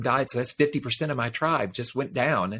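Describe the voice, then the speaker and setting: A man's voice with vocal fry and ordinary pitch variation, in a very clean recording with a silent background. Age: 60s. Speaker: life coach and podcast host. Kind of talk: interview testimony.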